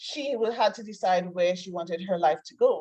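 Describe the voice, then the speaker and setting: In a Trinidadian accent, a woman speaks at a moderate pace, her medium-pitched voice dark and mellow in tone. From Trinidad and Tobago. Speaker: life coach. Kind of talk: interview. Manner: casual, conversational.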